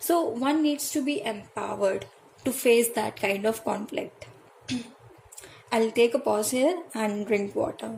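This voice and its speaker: A woman at a fairly slow pace, long and frequent pauses, noticeable background noise. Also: ordinary pitch variation. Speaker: tarot reader. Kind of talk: tutorial. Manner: halting, many fillers and self-corrections.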